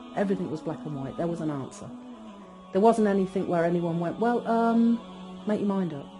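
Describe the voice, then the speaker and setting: Delivered at a fairly quick pace in an English Midlands accent, the speech has long, frequent pauses. Music plays in the background. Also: woman, medium pitch for a woman, lively intonation. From England, Northamptonshire. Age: 50s. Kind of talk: testimony. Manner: conversational, with hesitations.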